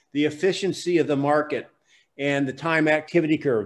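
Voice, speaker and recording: The pitch moves in an ordinary way. It belongs to a man. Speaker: real estate sales coach. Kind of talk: online class lecture. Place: studio. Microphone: studio mic.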